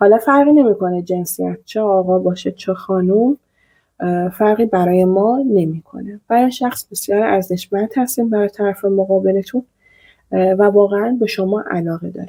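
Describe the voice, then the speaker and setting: With a dark, mellow tone, a woman at medium pitch speaks at a moderate pace and ordinary pitch variation. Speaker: tarot reader. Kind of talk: tarot reading to viewers.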